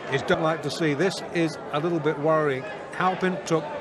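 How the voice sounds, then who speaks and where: The tone is excited and the pace moderate. The sound is dry with no echo, though noticeable background noise is present. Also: man. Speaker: boxing commentator. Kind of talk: live ringside boxing commentary, blow-by-blow. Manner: measured analysis between exchanges, sudden excited bursts at knockdowns; animated.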